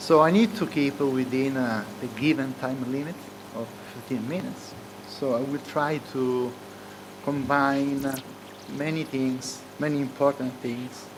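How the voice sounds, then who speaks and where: Speaking at a fairly slow pace with long, frequent pauses, a man with an Italian accent and a medium pitch shows ordinary pitch variation, with audible room echo and noticeable background noise. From Italy. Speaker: economics professor. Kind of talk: conference keynote speech. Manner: hesitant, many filler sounds.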